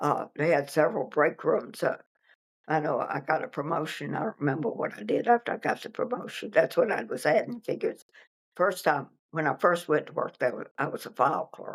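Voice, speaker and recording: Here a woman talks with a Virginia accent. Her pace is moderate. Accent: Virginia Southern American. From Virginia, US South. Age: 80s+. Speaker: interviewee recounting local history. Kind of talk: oral history interview. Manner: halting.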